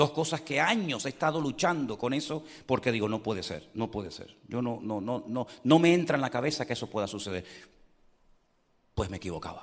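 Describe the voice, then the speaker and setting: A man with an unremarkable speaking voice uses lively intonation at a medium pitch. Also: fairly quick pace. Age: 60s. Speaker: pastor. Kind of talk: sermon.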